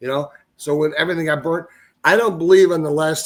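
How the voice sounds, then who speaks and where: This man has an unremarkable speaking voice, fairly high in pitch, and talks at a fairly quick pace. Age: 60s. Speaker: TV network owner and Bigfoot eyewitness. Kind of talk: casual podcast interview.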